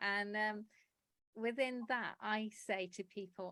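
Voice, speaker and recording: With a dry, close sound and no echo, a woman speaks at a medium pitch in a monotone with flat intonation. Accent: English. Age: 60s. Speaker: publisher and writer. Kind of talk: interview.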